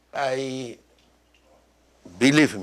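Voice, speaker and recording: Speaking very slowly, a man with a Spanish accent has a fairly high pitch. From Mexico (born in Iraq, moved as a small child). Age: 70s. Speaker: doctor and lecturer. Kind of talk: Q&A after a lecture. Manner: halting, with many fillers.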